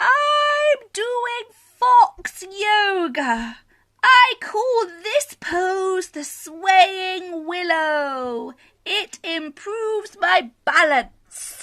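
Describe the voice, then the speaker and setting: Using a put-on character voice, a woman speaks at a very slow pace in an extremely high pitch with very wide pitch swings. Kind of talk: bedtime story. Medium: read story.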